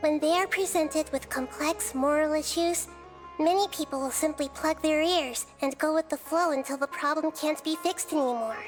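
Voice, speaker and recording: Over clear background music, a female-sounding voice does a put-on character voice at a high pitch and a moderate pace. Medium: machinima. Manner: calm, gentle, measured.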